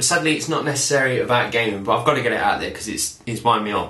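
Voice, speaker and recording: A man with a Nottingham accent speaks amid noticeable background noise and audible room echo. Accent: Nottingham twang. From Nottingham, England. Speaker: YouTube vlogger. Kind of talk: casual rant vlog. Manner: animated.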